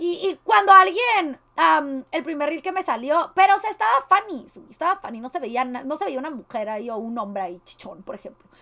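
A woman with a Mexican accent talks in an animated tone at a moderate pace, her voice raised and projected, high in pitch, with very wide pitch swings and big swings in loudness. She leaves hardly any pauses, and the background is quiet. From Mexico. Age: 20s. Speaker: streamer. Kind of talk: reaction commentary. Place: home room.

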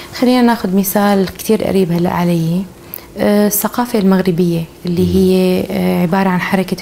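A woman speaks at a moderate pace with light noise in the background. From Syria. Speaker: sculptor and visual artist; interviewee. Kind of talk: interview. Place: workshop. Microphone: lapel.

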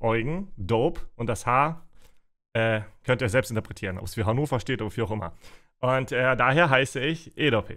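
Over a quiet background, a man speaks at a moderate pace. His medium-pitched voice has a bright, sharp tone. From Russia (Siberia), raised in Germany. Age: 30s. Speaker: streamer. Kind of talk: Q&A livestream chat. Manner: casual. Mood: relaxed, self-mocking humour. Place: home room.

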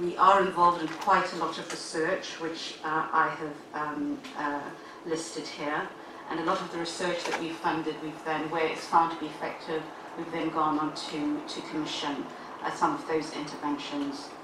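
Her voice carries audible room echo, with noticeable background noise too. The woman keeps to a moderate pace. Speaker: health service officer presenting to panel. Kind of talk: formal briefing. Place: meeting room.

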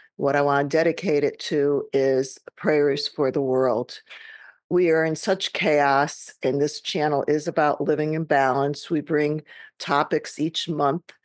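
In a quiet background with dry sound and no echo, a woman speaks at a fairly slow pace with a very deep, low pitch, very even loudness and monotone, flat intonation. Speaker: podcast host and guided meditation leader. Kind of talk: casual talk to camera, podcast introduction. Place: home room. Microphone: webcam.

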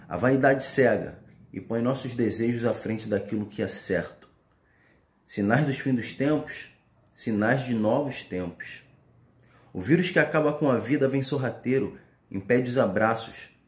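A man at medium pitch and fairly slow pace, somewhat breathy with a solemn tone, ordinary pitch variation, long, frequent pauses and audible room echo. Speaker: spoken word poet. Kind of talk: spoken word poetry, reflective pandemic-era verse. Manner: solemn, measured, meditative delivery with rhythmic pauses. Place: home room. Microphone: phone near.

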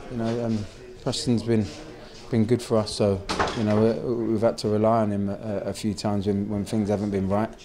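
Over noticeable background noise, a man with a fairly low pitch speaks in a monotone, flat intonation at a fairly quick pace, with long, frequent pauses. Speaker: football manager giving post-match interview. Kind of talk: post-match interview. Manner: hesitant, halting, with frequent fillers and repeated words. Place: empty room.

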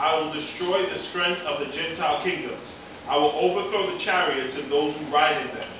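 Amid strong room echo and noticeable background noise, a man with a high pitch talks at a moderate pace with ordinary pitch variation. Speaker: preacher. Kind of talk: sermon. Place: church.

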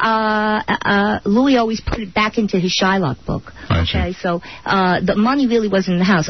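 A woman's medium-pitched voice with a New York accent. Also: ordinary pitch variation, moderate pace. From Brooklyn, New York. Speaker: author, widow of a mobster. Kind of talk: radio interview answer.

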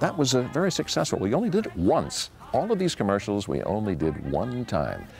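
Over faint background music, a man talks at a fairly quick pace in a dry sound with no echo. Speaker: TV pitchman and announcer. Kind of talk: interview answer. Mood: warm, nostalgic recollection. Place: garden. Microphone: lapel.

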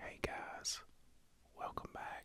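A man whispers at a fairly slow pace. His tone is soothing and calm. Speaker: ASMR creator. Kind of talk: ASMR personal attention, guided stress relief. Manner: soft-spoken, soothing, calm. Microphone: studio mic.

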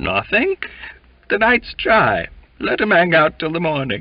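Someone uses a shaky, put-on character voice at a moderate pace. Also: man, high pitch for a man. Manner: restraining laughter or rage.

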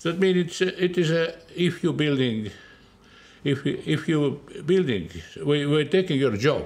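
A man with an Estonian accent, fairly high in pitch, at a fairly slow pace, with very even loudness and long, frequent pauses. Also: ordinary pitch variation. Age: 80s+. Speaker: orchestra conductor. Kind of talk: interview answer.

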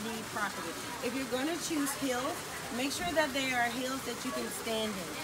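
Loud background noise fills the recording. The voice keeps a moderate pace. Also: woman. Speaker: wine vlogger. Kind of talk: casual vlog tutorial. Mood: cheerful, upbeat. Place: garden. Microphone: camera far.

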